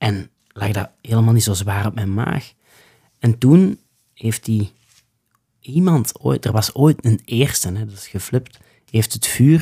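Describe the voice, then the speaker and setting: A man speaks at a fairly slow pace in a medium-pitched, dark, mellow voice that is somewhat breathy and has lively intonation. The sound is dry and close with no echo. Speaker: bushcraft instructor. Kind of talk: casual interview. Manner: animated.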